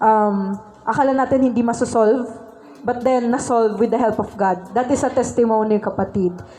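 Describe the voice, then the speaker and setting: Amid noticeable background noise and audible room echo, a woman speaks at a fairly high pitch and a moderate pace. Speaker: church speaker. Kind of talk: sermon. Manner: animated.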